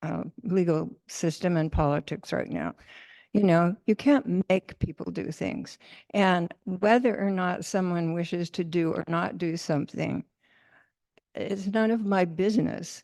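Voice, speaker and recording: A woman speaks at a fairly low pitch with a dark, mellow tone, in a dry, close sound with no echo. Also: ordinary pitch variation, fairly slow pace. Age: 80s+. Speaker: audience member. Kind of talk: Q&A discussion. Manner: halting.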